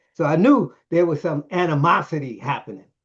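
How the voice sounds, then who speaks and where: A man speaks here. His voice is somewhat breathy. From Brooklyn, New York. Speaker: director of a training center, engineer, Bible teacher. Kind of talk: interview answer, personal testimony. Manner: animated, casual.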